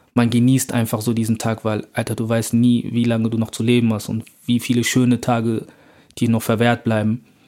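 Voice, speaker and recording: A man talks fairly quickly at a medium pitch. His tone is dark and mellow, his intonation monotone and flat. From Germany, Bonn. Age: 20s. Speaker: rapper and student. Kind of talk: casual interview.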